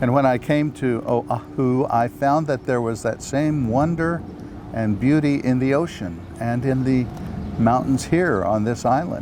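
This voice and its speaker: A man at a medium pitch with lively intonation, very even loudness and a fairly slow pace, amid noticeable background noise. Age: 70s. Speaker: life coach and retired minister. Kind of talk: promotional self-introduction.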